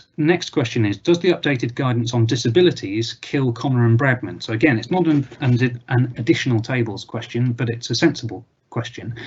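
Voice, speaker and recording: A man speaks at a moderate pace in a medium-pitched, somewhat breathy voice. His pitch varies in an ordinary way. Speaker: barrister. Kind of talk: webinar Q&A. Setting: live webinar with screen share. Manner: hesitant, many fillers.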